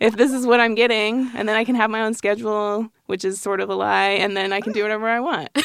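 A woman with a fairly high pitch speaks very fast with fairly even intonation and hardly any pauses. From Colorado Springs, Colorado, US. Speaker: designer, design studio partner. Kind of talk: casual chat.

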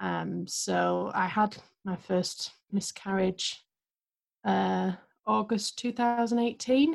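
A woman speaks very slowly in an English accent. Her speech has long, frequent pauses. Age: 30s. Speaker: guest sharing miscarriage story. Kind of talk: testimony.

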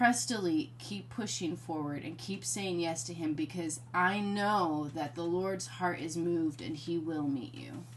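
A woman with a very deep, low pitch and vocal fry speaks at a fairly slow pace. Her intonation is lively, with hardly any pauses. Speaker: ministry co-host sharing testimony. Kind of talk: testimony.

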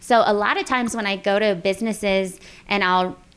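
A woman with an American accent at a medium pitch, over noticeable background noise. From Texas, Corpus Christi. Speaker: local lifestyle blogger. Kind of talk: casual chat. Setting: home kitchen.

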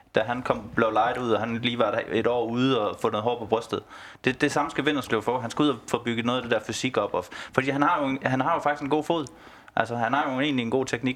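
The man's intonation is fairly even. He speaks at a fairly quick pace. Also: medium pitch for a man. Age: 30s. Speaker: football fan. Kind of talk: casual chat. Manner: hesitant, repeats words.

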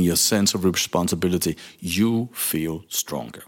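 This man speaks with lively intonation in a Danish accent. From Denmark. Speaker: leadership coach and podcast host. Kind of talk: solo monologue podcast. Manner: halting, with frequent fillers and repetitions.

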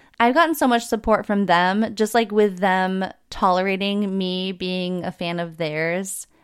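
In a very clean recording with a silent background, a woman of medium pitch speaks at a fairly slow pace with an animated tone and ordinary pitch variation. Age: 20s. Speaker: podcast host. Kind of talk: casual chat.

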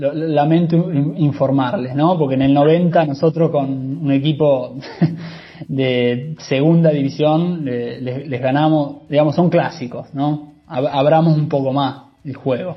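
This man talks at a very slow pace in a Rioplatense accent, his pitch fairly high and his intonation fairly even. Noticeable background noise sits behind him. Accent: Rioplatense Spanish (Argentine). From Argentina, La Plata. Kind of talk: casual chat.

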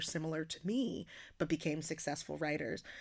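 Speaking at a moderate pace with an American accent, a woman has a very deep, low pitch and ordinary pitch variation in a very clean recording with a silent background. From US Northeast, working-class Philadelphia. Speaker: poet and slam performer. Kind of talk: casual interview conversation.

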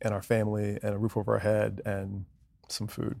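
On a very clean recording with a silent background, a man with an American accent speaks fairly quickly in a dark, mellow tone. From US Northeast (New Jersey), teen years in Southern California. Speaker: former pro soccer player, corporate executive. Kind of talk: casual interview. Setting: studio.

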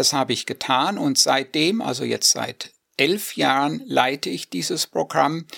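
Dry and close with no echo, a man's voice proceeds fairly slowly. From Hesse, Germany (near Marburg). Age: 50s. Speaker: dean of a Bible seminary. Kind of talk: radio interview.

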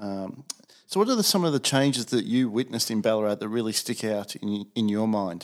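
With an Australian accent, a man talks at a medium pitch with ordinary pitch variation. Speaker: podcast host, college community director. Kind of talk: interview questions, formal.

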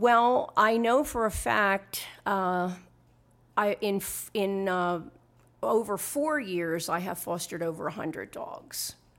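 A woman with an American accent at a medium pitch, speaking at a very slow pace with lively intonation, in a very clean recording with a silent background. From Philadelphia, Pennsylvania. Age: old. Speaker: hospice pet foster volunteer. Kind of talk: interview testimony.

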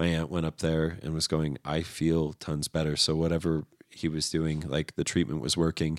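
Hardly pausing, a man with an American accent speaks in a very deep, low, flat monotone, the sound dry and close with no echo. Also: moderate pace, very clean recording, silent background. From Southern California. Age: 30s. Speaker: artist. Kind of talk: casual chat.

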